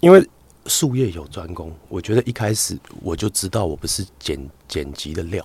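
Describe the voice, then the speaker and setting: The speech has lively intonation and big swings in loudness. It is somewhat breathy and delivered at a moderate pace. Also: man, very deep, low pitch for a man. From Taiwan, Hakka. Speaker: doctor and content creator. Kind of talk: casual chat interview. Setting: studio with headphones.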